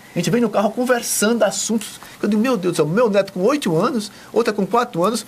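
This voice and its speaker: Over noticeable background noise, a man with a high pitch talks at a fairly quick pace. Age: 70s. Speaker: TV presenter. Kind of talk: TV interview. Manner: enthusiastic.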